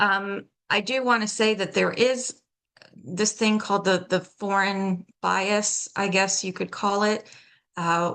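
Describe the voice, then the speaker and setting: With an American accent, the speaker goes at a very slow pace with fairly even intonation. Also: woman. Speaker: accent coach and theater professional. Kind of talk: workshop lecture.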